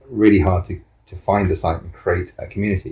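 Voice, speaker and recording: Very deep and low in pitch, this man's voice has a dark, mellow tone and is somewhat breathy. He keeps a moderate pace and fairly even intonation. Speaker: co-housing group member. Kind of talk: interview.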